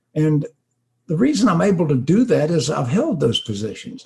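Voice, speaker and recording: A man speaks at a fairly quick pace in a dark, mellow tone. His voice is somewhat breathy. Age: 70s. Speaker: auto industry consultant and speaker. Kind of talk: interview.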